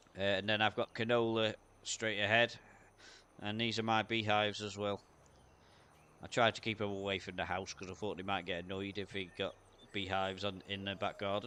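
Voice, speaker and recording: Flat, monotone intonation and a bright, sharp tone at a fairly quick pace, broken by long, frequent pauses, over a quiet background. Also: man, fairly low pitch for a man. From UK. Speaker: gaming streamer. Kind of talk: live gameplay commentary. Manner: casual, hesitant with fillers.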